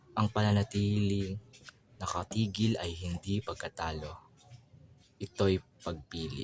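Here a man talks at a fairly low pitch and a fairly slow pace. His intonation stays fairly even. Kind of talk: spoken word poetry.

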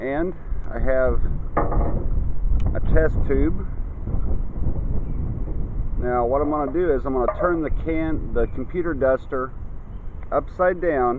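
Long, frequent pauses from a man at a fairly slow pace, with fairly even intonation and noticeable background noise. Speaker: science demonstrator. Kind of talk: tutorial. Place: garden. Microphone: phone near.

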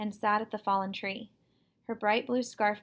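A natural reading voice is heard. The reading keeps to that voice.

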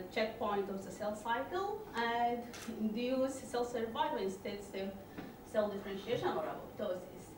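Noticeable background noise and audible room echo. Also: woman. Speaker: presenter. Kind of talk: lecture. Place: hall.

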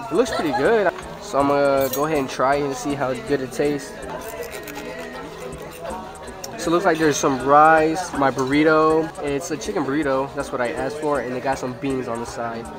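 Clear music plays in the background as a man speaks at a fairly quick pace. His pitch varies in an ordinary way. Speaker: food vlogger. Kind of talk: casual vlog chat. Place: cafe. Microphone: phone near.

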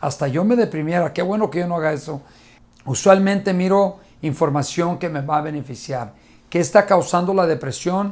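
This man sounds animated, his pitch high. He keeps a moderate pace with ordinary pitch variation. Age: 50s. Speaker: motivational speaker. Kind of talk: motivational talk to camera. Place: studio.

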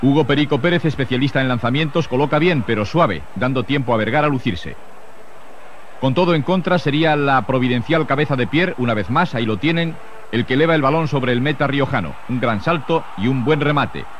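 A man speaking at a fairly quick pace, with very even loudness and ordinary pitch variation, dry with no echo, over light background noise. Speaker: TV sports narrator. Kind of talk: commentary.

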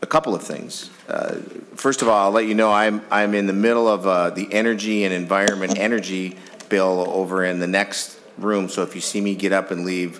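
Against light background noise, a man with a plain, everyday voice and fairly low pitch talks at a fairly quick pace. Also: fairly even intonation. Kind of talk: chairing a hearing, opening remarks. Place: hall. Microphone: podium.

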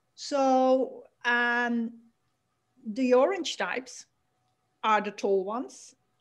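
A woman with a Dutch accent talks very slowly in a high voice, with ordinary pitch variation and long, frequent pauses. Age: 50s. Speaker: lifestyle coach and author. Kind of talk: interview. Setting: video call. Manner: halting.

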